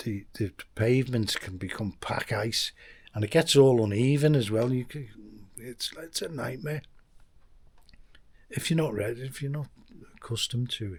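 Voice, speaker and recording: At a medium pitch and moderate pace, a man speaks in a somewhat breathy voice with ordinary pitch variation. Long pauses come frequently. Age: 60s. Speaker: expat vlogger. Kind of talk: casual vlog monologue. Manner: halting, many restarts.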